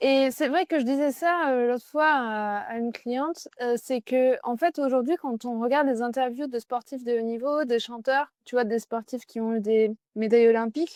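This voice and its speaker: A high female voice with ordinary pitch variation and a dry, close sound with no echo. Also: moderate pace, hardly any pauses. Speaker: business coach. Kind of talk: interview. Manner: loud.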